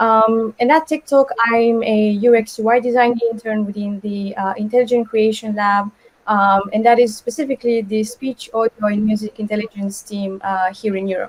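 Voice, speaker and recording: A woman talks at a moderate pace with a Romanian accent and a fairly high pitch. Her intonation is fairly even, with hardly any pauses. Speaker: design intern. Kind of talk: webinar panel talk. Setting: live webinar, video call.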